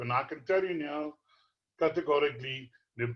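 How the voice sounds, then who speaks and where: With an unremarkable speaking voice, a man talks at a fairly slow pace and a fairly high pitch. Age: 60s. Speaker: horse racing tipster. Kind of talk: tutorial.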